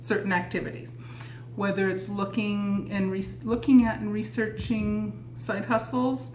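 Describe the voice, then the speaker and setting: There is audible room echo around a woman's voice. Noticeable background noise runs underneath. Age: 60s. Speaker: lifestyle vlogger. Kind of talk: casual tutorial.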